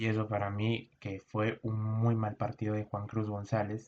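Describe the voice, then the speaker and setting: The pace is fairly slow. A man talks at a fairly low pitch. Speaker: football analyst. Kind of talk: casual talk to camera.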